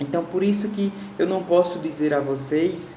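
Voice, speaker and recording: With audible room echo and noticeable background noise, a man speaks fairly slowly at a high pitch with lively intonation. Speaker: school teacher. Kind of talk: recorded online lecture. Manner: conversational, with fillers and repetitions.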